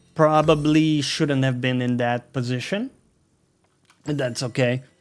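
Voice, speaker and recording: With a non-native accent, a man speaks slowly-ish at a fairly slow pace, medium pitch and fairly even intonation. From Brazil. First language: Portuguese. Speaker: gaming YouTuber. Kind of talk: gameplay commentary. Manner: casual.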